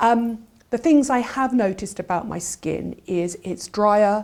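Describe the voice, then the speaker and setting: A woman speaks in an English accent. Her pitch is medium. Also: very clean recording, silent background. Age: 60s. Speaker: beauty journalist. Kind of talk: casual chat.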